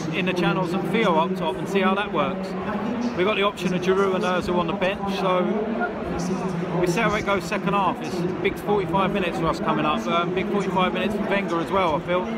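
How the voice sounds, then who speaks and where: Loud background noise surrounds a man talking, with a dry sound and no echo. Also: fairly quick pace. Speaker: football fan vlogger. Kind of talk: casual vlog commentary. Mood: calm, mildly frustrated. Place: stadium. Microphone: phone near.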